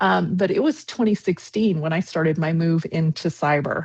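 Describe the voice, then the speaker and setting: A speaker with a Southern US accent talks at a moderate pace with ordinary pitch variation in a dry, close sound with no echo. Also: woman. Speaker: sales executive, company founder. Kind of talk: interview.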